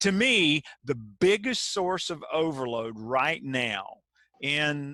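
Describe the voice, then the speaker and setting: A man with a Southern US accent speaks at a very slow pace. His fairly high voice has a bright, sharp tone and lively intonation. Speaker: keynote speaker and author. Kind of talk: webinar presentation. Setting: video call.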